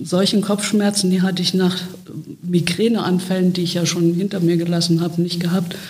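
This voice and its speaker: The speech is monotone and flat, with audible room echo and noticeable background noise. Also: woman. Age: 60s. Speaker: speech therapist and long covid patient. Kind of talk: interview.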